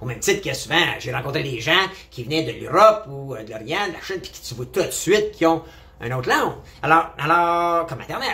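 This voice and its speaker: Here a man talks at a fairly quick pace. His pitch is fairly high and his intonation lively. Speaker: vlogger. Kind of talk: opinion monologue. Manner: animated.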